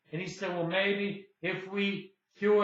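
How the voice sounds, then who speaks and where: In a raised, projected voice, a man with a high pitch and a bright, sharp tone speaks with monotone, flat intonation. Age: 60s. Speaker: independent anti-aging researcher. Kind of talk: casual talk to camera.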